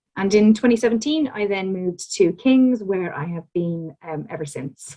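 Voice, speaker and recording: A woman with an Irish accent, medium pitch, a dark, mellow tone, lively intonation, a moderate pace and big swings in loudness. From Ireland. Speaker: academic researcher, physiotherapist. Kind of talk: lecture. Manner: hesitant with frequent ums.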